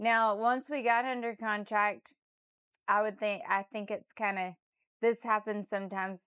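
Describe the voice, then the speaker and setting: Recorded very cleanly against a silent background, a woman speaks at medium pitch and a moderate pace. Her intonation is fairly even, and it is an ordinary speaking voice. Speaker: real estate agent. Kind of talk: interviewer, casual conversation.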